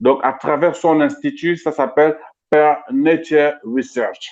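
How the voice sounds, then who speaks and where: This man's pitch sits fairly high. Its variation stays ordinary. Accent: French. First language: French. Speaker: interviewer, cultural activist. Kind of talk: live interview introduction. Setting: online live stream. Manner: halting, many repetitions.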